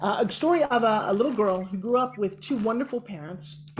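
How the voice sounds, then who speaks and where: An animated woman's voice, fairly high in pitch with very wide pitch swings, over noticeable background noise. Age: 60s. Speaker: TV host and motivational speaker. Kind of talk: interview.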